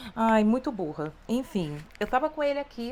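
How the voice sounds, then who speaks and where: A woman with a Rio de Janeiro accent, very wide pitch swings and a moderate pace. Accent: carioca. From Brazil, Rio de Janeiro. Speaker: beauty youtuber. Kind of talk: makeup tutorial. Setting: home, hot room. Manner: casual, chatty. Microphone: wireless lavalier mic beside her, close.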